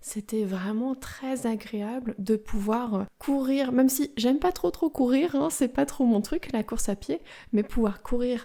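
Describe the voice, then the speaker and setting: A woman with a dark, mellow tone at a very slow pace. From France. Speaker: French teacher podcaster. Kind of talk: language-learning podcast monologue. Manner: slow, clear.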